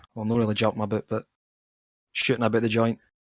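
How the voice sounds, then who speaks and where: A man talks at a fairly quick pace at medium pitch, with a Scottish accent. The sound is dry and close, with no echo. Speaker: esports caster. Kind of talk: live commentary. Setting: live stream. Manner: casual.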